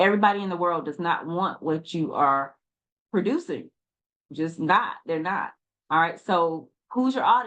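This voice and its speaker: This is a woman with an ordinary speaking voice at medium pitch. Her intonation is lively. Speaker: online business coach. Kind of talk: tutorial.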